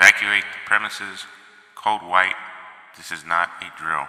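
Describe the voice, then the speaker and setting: A man's booming, fairly low put-on character voice, monotone and flat, at a moderate pace with clear echo. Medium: read story. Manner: booming, official.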